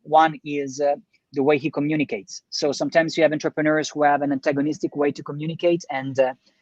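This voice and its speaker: The speech comes at a very fast pace. It is delivered in an Italian accent. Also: quiet background. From Italy. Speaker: entrepreneur, business co-founder. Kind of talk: podcast interview. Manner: halting, many fillers and restarts.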